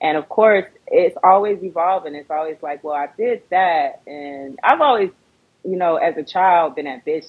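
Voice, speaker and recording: Speaking at a moderate pace with an American accent, a woman has an unremarkable speaking voice at a fairly low pitch. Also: ordinary pitch variation, big swings in loudness. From Fort Lauderdale, Florida. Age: 30s. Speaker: rapper and film director. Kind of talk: casual interview. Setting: Instagram live stream.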